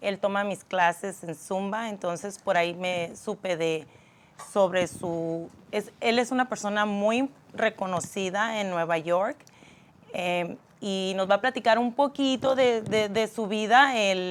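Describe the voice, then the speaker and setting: A woman's medium-pitched voice in a Spanish accent, moderate in pace with ordinary pitch variation. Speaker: talk show host and Zumba instructor. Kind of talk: casual interview.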